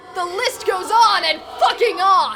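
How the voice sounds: Her put-on character voice sits at an extremely high pitch, bright and sharp, with ordinary pitch variation. This woman speaks at a fairly slow pace as faint music plays in the background.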